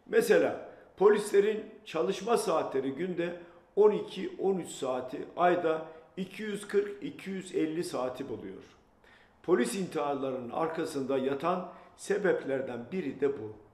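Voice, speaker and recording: Amid audible room echo, a man with a high voice speaks very slowly. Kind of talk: political address to camera. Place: home room.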